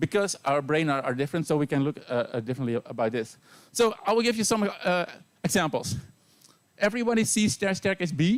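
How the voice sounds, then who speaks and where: Very fast and with very wide pitch swings, a man talks at a high pitch with a Dutch accent. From Netherlands. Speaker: university teacher. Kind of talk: lecture.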